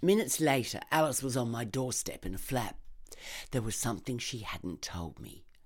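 The speaker talks at a moderate pace with an Australian accent, on a very clean recording with a silent background. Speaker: narrator, actor and barrister. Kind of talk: reading aloud. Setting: studio.

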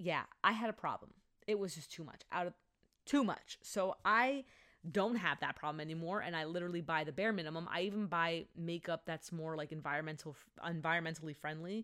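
A woman speaks at a fairly quick pace with ordinary pitch variation. Her tone is bright and sharp. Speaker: podcast host. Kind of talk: solo podcast monologue, casual chat. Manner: fast talker, speaks too fast; high energy delivery though naturally low-key in person.

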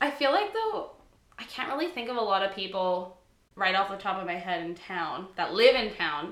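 Audible room echo and noticeable background noise surround a woman speaking with lively intonation. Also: medium pitch for a woman, moderate pace. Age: 20s. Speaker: podcast co-host. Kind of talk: casual chat.

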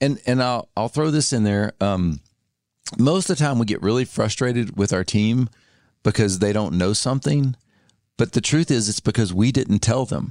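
With an Arkansas accent and lively intonation, a man speaks against a quiet background in a dry, close sound with no echo. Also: medium pitch for a man, moderate pace. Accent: Southern US (Arkansas). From US South, Arkansas. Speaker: author and advertising agency founder. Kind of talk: casual chat.

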